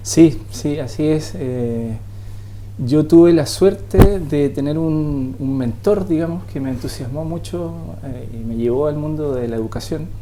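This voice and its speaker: A medium-pitched man at a fairly slow pace, lively intonation and big swings in loudness, with audible room echo and noticeable background noise. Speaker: software developer in education. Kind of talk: TV interview. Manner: halting.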